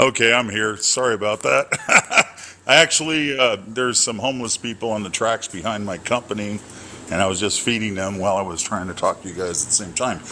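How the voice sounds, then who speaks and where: A man talks at a fairly quick pace with a fairly low pitch. Noticeable background noise sits behind him. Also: ordinary pitch variation. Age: 60s. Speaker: caller on live dating discussion. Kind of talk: casual group discussion. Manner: halting, many fillers.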